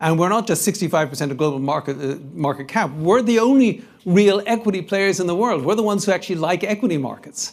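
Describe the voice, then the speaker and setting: A man with a European accent, high-pitched, at a very fast pace with lively intonation and hardly any pauses. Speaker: investment strategist. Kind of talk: conference panel talk with Q&A.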